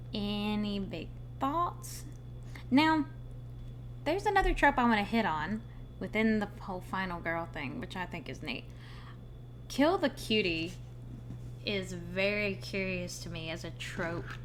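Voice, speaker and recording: Amid audible room echo, a woman talks at a fairly slow pace, with long, frequent pauses and big swings in loudness. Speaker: streamer discussing horror films. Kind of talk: live stream commentary. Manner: casual, thinking aloud.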